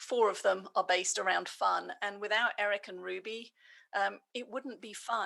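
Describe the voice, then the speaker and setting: A woman with an English accent, a bright, sharp tone, vocal fry, and medium pitch, at a fairly slow pace on a very clean recording with a silent background. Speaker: business leader and coach. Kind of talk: podcast interview.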